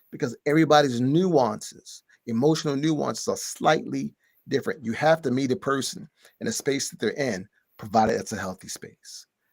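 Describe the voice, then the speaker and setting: Talking at a moderate pace with an American accent, a man uses a fairly high voice with vocal fry, lively intonation and big swings in loudness, the sound dry and close with no echo. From Baltimore, US. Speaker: relationship expert guest. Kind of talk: podcast interview.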